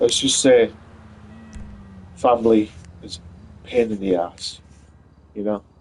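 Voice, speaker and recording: Music plays in the background. Over it, a man talks in a fairly low voice. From UK. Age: 30s. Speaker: gaming streamer. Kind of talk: casual live stream chat. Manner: halting, many fillers.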